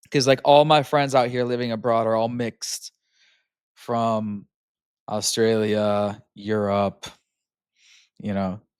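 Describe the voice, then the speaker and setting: Very slow delivery in an American accent, broken by long, frequent pauses. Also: very clean recording, silent background. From US Pacific Northwest (Seattle). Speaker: podcast host reacting to videos. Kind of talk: casual reaction commentary. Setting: at home on couch. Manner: halting, many fillers. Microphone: new microphone.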